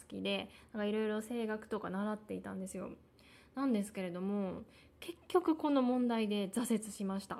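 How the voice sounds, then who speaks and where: A woman mumbles in a fairly high pitch. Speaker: podcaster. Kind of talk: personal monologue. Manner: halting, many fillers; mumbled articulation.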